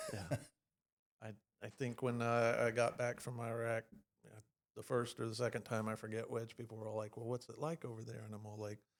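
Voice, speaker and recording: A man with a Texan accent talks at a fairly quick pace and a medium pitch. His intonation is monotone and flat, with big swings in loudness and long, frequent pauses. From Texas. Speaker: podcast host, veteran. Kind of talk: casual chat.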